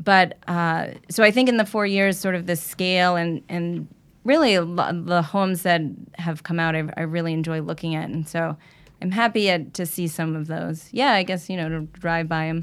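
In a very clean recording with a silent background, a woman with an American accent speaks at a moderate pace in a fairly low pitch with ordinary pitch variation. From Long Island, New York. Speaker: architect. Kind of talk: casual interview chat. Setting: studio.

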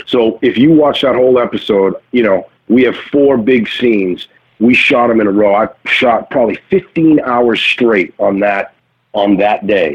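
A man with an American accent talks at a fairly slow pace in a plain, everyday voice. His pitch is medium, with ordinary variation and very even loudness. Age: 40s. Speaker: actor. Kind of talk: casual chat. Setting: remote call.

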